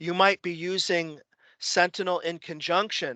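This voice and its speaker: A man's bright, sharp tone, dry and close with no echo, over a quiet background. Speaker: tech trainer. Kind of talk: technical tutorial.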